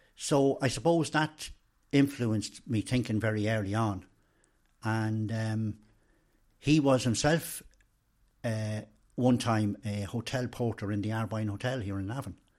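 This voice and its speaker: Speaking at a fairly slow pace with long, frequent pauses, a man with an Irish accent and medium pitch comes through in a very clean recording with a silent background. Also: ordinary pitch variation. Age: 60s. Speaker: retired trade union official. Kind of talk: interview. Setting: in person.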